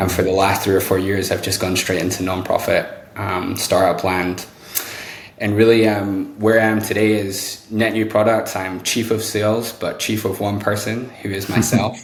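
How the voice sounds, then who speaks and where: A man with a British accent, fairly low-pitched and flat in a monotone, at a moderate pace, with audible room echo and noticeable background noise. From UK. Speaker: sales executive. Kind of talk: podcast interview.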